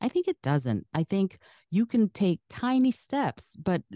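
A woman's dark, mellow tone with very wide pitch swings, against a quiet background in a dry, close sound with no echo. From US Midwest. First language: Russian. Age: 50s. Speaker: podcast coach and former science educator. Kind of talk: interview. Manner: polished, trained delivery.

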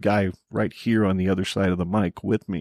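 A plain, everyday voice moves at a moderate pace on a very clean recording with a silent background, its sound dry and close with no echo. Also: man. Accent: American. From Arizona. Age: 50s. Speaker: podcast co-host. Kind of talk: casual chat.

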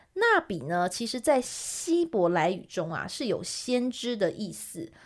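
A woman speaks at a fairly slow pace with very wide pitch swings, recorded very cleanly against a silent background. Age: 30s. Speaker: podcast co-host, art presenter. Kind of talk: art history explanation in a casual podcast.

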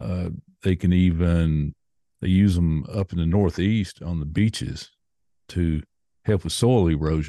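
A man's very deep, low voice with a Tennessee accent, dark and mellow in tone, at a fairly slow pace with long, frequent pauses, ordinary pitch variation, and a dry, close sound with no echo over a quiet background. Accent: Southern US (Tennessee). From US South, Nashville, Tennessee. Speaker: podcaster. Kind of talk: casual chat.

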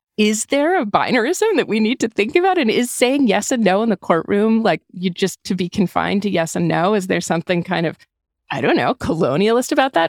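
A woman with an American accent talks at a fairly quick pace with vocal fry and very wide pitch swings, in a very clean recording with a silent background. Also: medium pitch for a woman, dry, close sound with no echo. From US Northeast, Hanover, New Hampshire. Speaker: writer and podcaster. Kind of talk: casual chat.

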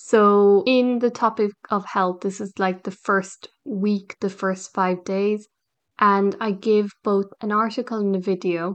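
A woman talks at a very slow pace in a monotone, flat intonation with medium pitch. The background is quiet. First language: English (native), also learning French. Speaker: English language teacher, podcast host. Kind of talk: solo educational podcast monologue. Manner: casual, with fillers and self-corrections.

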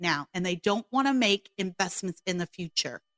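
Lively intonation runs through an ordinary speaking voice, recorded dry and close with no echo. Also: woman. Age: 40s. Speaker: radio host and podcaster. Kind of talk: talk radio monologue.

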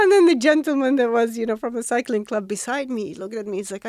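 A woman talks at a very fast pace with an Arabic accent. Her pitch is fairly high. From Saudi Arabia, Riyadh. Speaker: triathlete and dentist. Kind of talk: interview.

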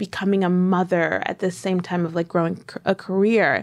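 With an American accent, a woman speaks in a plain, everyday voice at a moderate pace and medium pitch, her intonation fairly even. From New York. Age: 20s. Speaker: lifestyle blogger and author. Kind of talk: casual interview.

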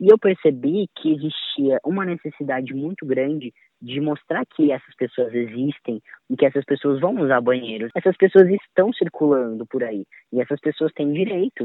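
Using an ordinary speaking voice, a man talks at a moderate pace. His pitch is fairly high, with lively intonation. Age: 20s. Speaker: music educator and violinist. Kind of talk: testimony.

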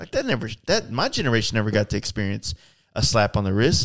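The voice has a fairly bright tone, big pitch swings and a fast pace. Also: man, fairly low pitch for a man.

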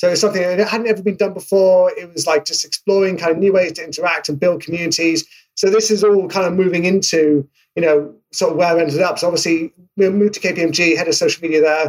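A man with a British accent and a high-pitched voice talks at a very fast pace. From UK. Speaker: marketing executive. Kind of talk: casual interview. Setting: remote call. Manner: animated.

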